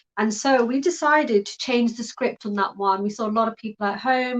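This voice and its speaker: A woman with a British accent talks at a fairly high pitch with fairly even intonation. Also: hardly any pauses. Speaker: live talk host. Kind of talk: live online talk show. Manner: casual, hesitant with fillers.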